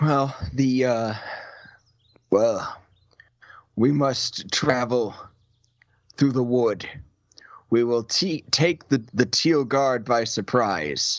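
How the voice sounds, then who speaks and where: Using a put-on character voice, a man speaks at a medium pitch and a very slow pace, with long, frequent pauses and very even loudness. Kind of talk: archaic heroic speech. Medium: actual play. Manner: grave, formal.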